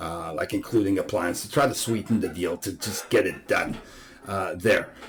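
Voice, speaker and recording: A man with a non-native accent at a moderate pace. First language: not English. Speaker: real estate agent. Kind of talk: market update presentation. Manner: hesitant, many fillers.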